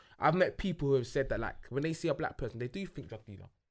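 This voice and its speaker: Speaking at a very fast pace, a man with a British accent shows ordinary pitch variation. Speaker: podcast co-host. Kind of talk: casual chat. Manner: halting, repeats words.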